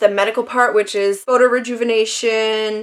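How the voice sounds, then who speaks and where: The woman's voice sits fairly high in pitch. She keeps to a moderate tempo. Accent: Quebec. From Quebec, Canada. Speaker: beauty vlogger. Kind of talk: casual talk to camera.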